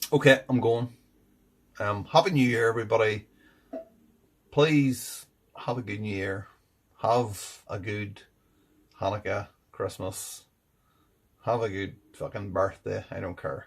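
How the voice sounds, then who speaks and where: Somewhat breathy, this man speaks at a fairly slow pace with long, frequent pauses and big swings in loudness. His pitch is medium, with ordinary pitch variation. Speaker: beer reviewer. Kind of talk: casual review vlog. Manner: deliberately enunciating, slightly slurred.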